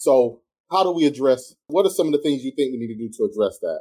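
The speaker uses a South Carolina accent and a dark, mellow tone, at a moderate pace with ordinary pitch variation. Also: man. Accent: US Southern, South Carolina. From South Carolina, tobacco country. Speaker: radio show host and real estate broker. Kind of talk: radio talk show interview. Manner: animated.

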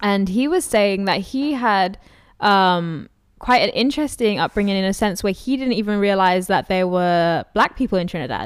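A woman with a London accent speaks on a very clean recording with a silent background. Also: medium pitch for a woman, ordinary pitch variation, moderate pace. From London, England. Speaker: podcast host. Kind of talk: casual interview.

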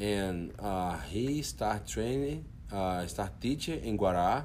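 With a Portuguese accent, the voice moves through very wide pitch swings. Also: man. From Brazil, Brasilia. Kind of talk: casual interview. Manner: soft-spoken; halting.

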